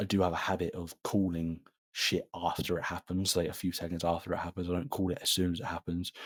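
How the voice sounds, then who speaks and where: The speech moves at a moderate pace. The recording is very clean, and the background is silent. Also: man. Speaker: boxing commentator. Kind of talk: live commentary; casual chat. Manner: animated.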